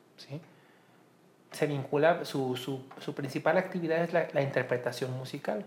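A man's somewhat breathy, fairly high-pitched voice, fairly slow in pace with fairly even intonation. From Mexico, Colima. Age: 30s. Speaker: musicologist. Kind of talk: interview.

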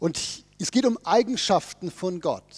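The speech moves at a fairly slow pace with ordinary pitch variation, in a very clean, dry, close recording with no echo and a silent background. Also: man. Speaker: pastor. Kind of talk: sermon. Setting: church service with congregation.

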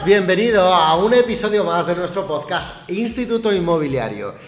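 A man with a high pitch talks at a moderate pace with hardly any pauses and ordinary pitch variation. Audible room echo and noticeable background noise fill the recording. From Spain, Cuenca. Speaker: real estate agent and podcast host. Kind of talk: podcast intro; live stream conversation. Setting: live stream.

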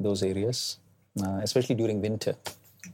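The tone is dark and mellow, somewhat breathy, in an Indian accent. Intonation stays lively throughout. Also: man. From India, Delhi. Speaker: tech entrepreneur. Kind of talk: interview. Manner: hesitant, many fillers.

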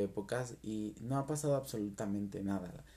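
A man with a Mexican accent speaks at a moderate pace. His voice is fairly low in pitch, with a dark, mellow tone. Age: 30s. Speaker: podcaster. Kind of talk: casual monologue.

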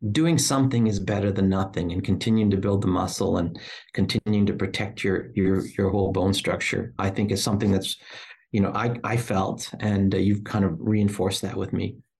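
At a fairly quick pace, a man speaks with a fairly low pitch and a somewhat breathy sound. His intonation stays fairly even. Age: 60s. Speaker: podcast host. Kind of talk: interview chat.

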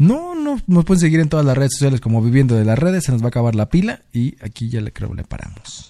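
A man's very fast, dark, mellow voice with lively intonation and hardly any pauses. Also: medium pitch for a man. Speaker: podcast co-host. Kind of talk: casual chat.

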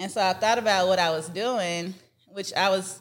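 With an American accent, a woman in a normal speaking voice of medium pitch talks at a moderate pace using fairly even intonation. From Texas and Georgia (Dallas, Atlanta). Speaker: food safety entrepreneur and children's author. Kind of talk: interview.

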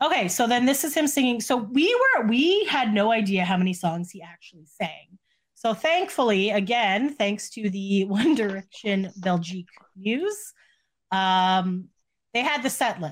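Somewhat breathy, a woman speaks at a fairly slow pace with a fairly high pitch, lively intonation and big swings in loudness. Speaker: podcast co-host discussing pop music news. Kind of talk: casual chat. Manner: quiet; halting.

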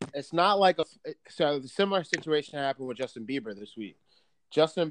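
At a moderate pace, a man talks in an unremarkable speaking voice of fairly high pitch, the sound dry and close with no echo and the background quiet. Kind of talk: casual banter podcast chat. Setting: remote call recording. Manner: joking, casual, profane.

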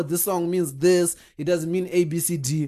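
Against a quiet background, the speaker talks at a moderate pace with a Zimbabwean accent. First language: Shona. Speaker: podcast co-host. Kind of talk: casual chat.

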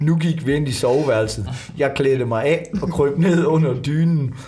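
This man speaks fairly slowly, with noticeable background noise behind him. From Jutland, Denmark. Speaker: stand-up comedian. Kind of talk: casual chat, reading aloud.

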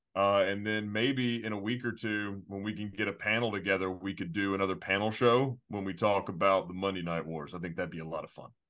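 In an unremarkable speaking voice, a man talks at a fairly quick pace with hardly any pauses, fairly low pitch and fairly even intonation. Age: 30s. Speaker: wrestling podcast co-host. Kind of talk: casual chat.

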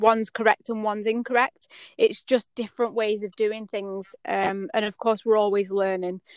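With dry, close sound and no echo, a woman in an English accent speaks at a moderate pace and a fairly high pitch. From England. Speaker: horse clipping artist. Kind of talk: interview. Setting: podcast.

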